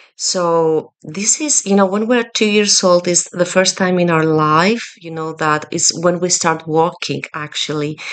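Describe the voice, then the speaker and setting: A woman with a non-native accent, fairly slow in pace, with ordinary pitch variation. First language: not English. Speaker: Reiki energy healer. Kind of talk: personal video message to a client. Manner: halting, many fillers.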